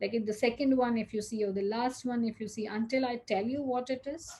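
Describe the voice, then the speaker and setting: A fairly high-pitched woman in a Gujarati accent, dark and mellow in tone, with fairly even intonation at a fairly quick pace. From India, Gujarat. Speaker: cyber safety speaker. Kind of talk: talk. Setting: video recording.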